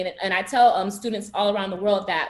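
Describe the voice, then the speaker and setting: A woman with a strong Haitian accent speaks at a very fast pace and a medium pitch with ordinary pitch variation. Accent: Haitian Creole accent, heavy. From South Florida, Broward County, Haitian American. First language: Haitian Creole. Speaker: university student, pageant titleholder. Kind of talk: panel discussion. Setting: video call.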